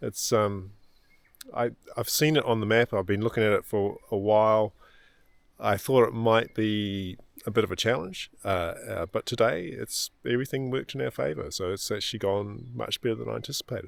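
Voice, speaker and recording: A man with a New Zealand accent, fairly low pitch and ordinary pitch variation at a moderate pace, on a very clean recording with a silent background. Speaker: amateur radio operator. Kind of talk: casual vlog narration. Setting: outdoors in a park. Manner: halting with fillers.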